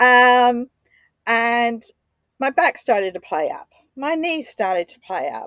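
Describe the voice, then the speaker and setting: With an Australian accent, a woman speaks at a fairly high pitch with lively intonation on a very clean recording with a silent background. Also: dry, close sound with no echo. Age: 60s. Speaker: podcaster. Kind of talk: personal reflection. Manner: halting.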